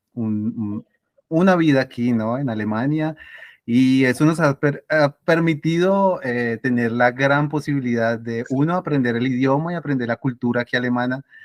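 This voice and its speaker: A man with a Tolima accent speaks at a moderate pace and a medium pitch, with ordinary pitch variation, in a dry, close recording with no echo. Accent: Tolima Colombian. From Colombia, Ibagué (Tolima). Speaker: interview guest, mathematician. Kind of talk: casual interview.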